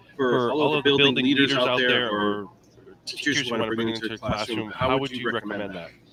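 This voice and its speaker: Against noticeable background noise, a man at medium pitch speaks at a fairly quick pace with fairly even intonation. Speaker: podcast host. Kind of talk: interview. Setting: live stream. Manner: fast.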